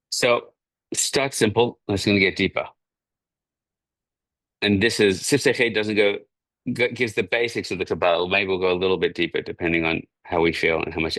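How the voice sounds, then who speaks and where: At a fairly quick pace, a man mumbles in a put-on character voice with fairly low pitch and ordinary pitch variation, taking long, frequent pauses against a quiet background. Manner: mumbling.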